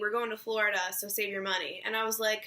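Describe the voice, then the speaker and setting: With a raised, projected voice and a bright, sharp tone, a woman talks at a moderate pace. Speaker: beauty vlogger. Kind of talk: tutorial.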